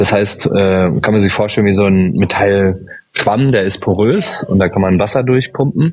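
With noticeable background noise behind him, a man speaks at a very even loudness and with ordinary pitch variation. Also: fairly low pitch for a man, moderate pace. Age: 30s. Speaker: startup founder and engineer. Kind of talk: interview.

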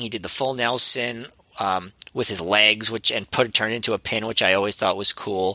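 A man is speaking. His pace is moderate. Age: 30s. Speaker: wrestling podcast co-host. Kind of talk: casual chat.

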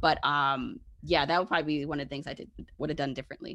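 A woman with an American accent, bright, sharp tone and very fast pace. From Brooklyn, New York. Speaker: personal finance expert. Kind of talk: interview.

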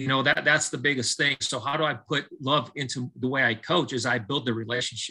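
The voice has a bright, sharp tone and an American accent, with ordinary pitch variation and a fairly quick pace. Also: man. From Southern California. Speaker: baseball coach. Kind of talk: casual interview testimony. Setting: video call.

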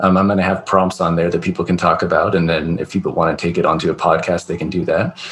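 Very fast speech from a man with a very deep, low pitch and a Californian accent, flat monotone intonation, over noticeable background noise. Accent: Californian American. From US West Coast, California. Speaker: podcast host, military veteran. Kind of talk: casual chat.

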